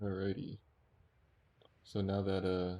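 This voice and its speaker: Very slowly and quietly, a man speaks at a fairly low pitch with monotone, flat intonation. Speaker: gamer. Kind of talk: casual gaming commentary. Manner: quiet, low volume.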